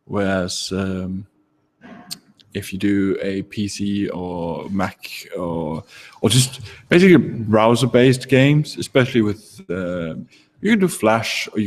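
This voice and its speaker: A man with a non-native accent speaks at a fairly slow pace and a fairly low pitch. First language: not English. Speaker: game jam organizer. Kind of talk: livestream talk. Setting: live broadcast from home. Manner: hesitant, many fillers. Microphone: echo.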